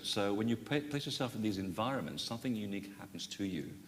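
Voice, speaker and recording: A man talks at a fairly quick pace in a fairly low pitch. Audible room echo surrounds his voice. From Portugal. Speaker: author and sacred sites researcher. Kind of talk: panel discussion. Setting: conference stage with audience. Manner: hesitant, many fillers.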